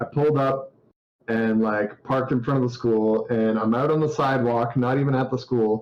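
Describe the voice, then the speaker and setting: A man speaks at a moderate pace in a plain, everyday voice, with medium pitch, fairly even intonation and very even loudness. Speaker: indie game developer. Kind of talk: casual interview chat.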